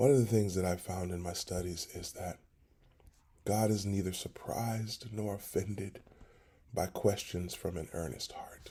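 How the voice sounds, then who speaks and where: A man speaks at a moderate pace with a fairly low pitch. His voice is somewhat breathy, with ordinary pitch variation. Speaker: pastor. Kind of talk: devotional talk.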